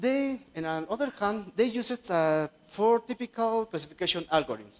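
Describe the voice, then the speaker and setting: With a Spanish accent, a man speaks in very wide pitch swings. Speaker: graduate student researcher. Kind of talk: conference presentation. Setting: conference session. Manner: halting.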